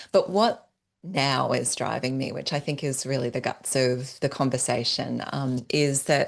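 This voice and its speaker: Here a woman speaks in an Australian accent at a very deep, low pitch. Her pace is fairly slow, with ordinary pitch variation. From Australia (northern New South Wales, near Byron Bay). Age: 40s. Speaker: entrepreneur and business strategist. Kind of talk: podcast interview.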